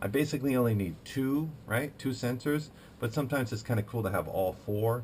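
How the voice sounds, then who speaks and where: Lively intonation marks this man's fairly quick speech. There's a somewhat breathy quality to his voice. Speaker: tech hobbyist video maker and trainer. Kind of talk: casual tech show-and-tell. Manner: fast; halting, many fillers.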